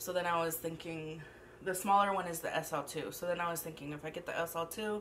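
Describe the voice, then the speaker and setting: An unremarkable speaking voice comes from a woman pitched fairly low. She talks at a fairly quick pace over light background noise. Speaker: food vlogger. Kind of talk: casual vlog chat. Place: home room. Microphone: camera far.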